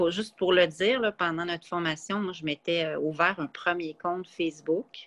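At a moderate pace with hardly any pauses, a woman talks in a fairly low pitch, the sound dry and close with no echo. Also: fairly even intonation. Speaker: podcast guest, runner and traveler. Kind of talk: casual chat.

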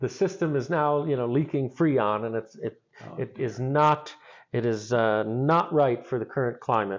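An ordinary speaking voice comes through with ordinary pitch variation, moving at a moderate pace. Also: man, medium pitch for a man. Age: 40s. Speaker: theater manager. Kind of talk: interview.

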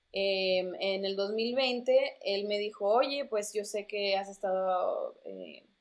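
A plain, everyday voice delivers the words with fairly even intonation. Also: woman. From Mexico, raised in the US from childhood. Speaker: former TV reporter, tech startup community manager. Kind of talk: casual interview. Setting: remote recording.

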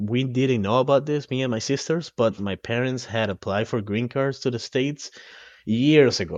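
A man talks at a moderate pace in a Spanish accent. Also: medium pitch for a man, ordinary pitch variation. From Ecuador (coastal). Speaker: guest, expat. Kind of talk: casual interview chat.

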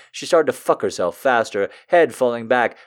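Someone is reading aloud in a natural voice, and the intonation stays lively throughout.

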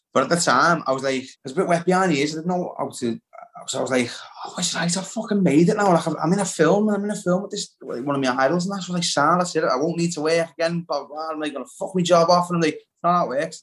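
In a Liverpool accent, a man talks at a very fast pace with a high pitch and ordinary pitch variation. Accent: Liverpool (Scouse). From Liverpool, England. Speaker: actor and playwright. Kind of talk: casual chat.

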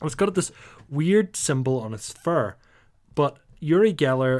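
A man with a Northern Irish accent speaks at a moderate pace. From Northern Ireland. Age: 30s. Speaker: podcast host. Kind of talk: casual chat.

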